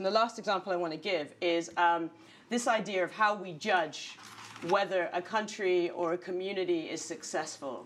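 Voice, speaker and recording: Ordinary pitch variation marks a woman's speech. She keeps a medium pitch and a moderate pace. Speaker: leader of a political party. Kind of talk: panel discussion. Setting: live audience in a newsroom. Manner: halting.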